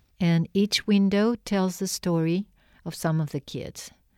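Her voice has a dark, mellow tone and ordinary pitch variation, recorded very cleanly with a silent background and a dry, close sound without echo. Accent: Spanish. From Argentina. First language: Spanish. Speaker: artist and art professor. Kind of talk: interview. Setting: radio studio.

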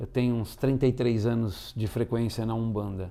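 This man's voice sits at a medium pitch. His tone is dark and mellow. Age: 50s. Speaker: actor and tarot reader. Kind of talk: interview.

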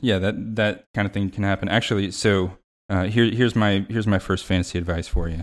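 On a very clean recording with a silent background, a man speaks in a normal speaking voice, fairly low in pitch with fairly even intonation. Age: young. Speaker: fantasy football stats enthusiast. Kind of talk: casual chat.

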